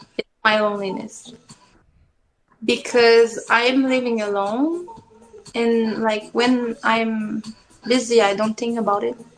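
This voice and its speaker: A woman with a French accent speaks at a very slow pace, her fairly high pitch kept in fairly even intonation. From Quebec. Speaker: interviewee. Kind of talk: interview. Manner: halting.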